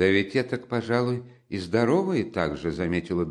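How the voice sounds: What we hear is a natural reading voice.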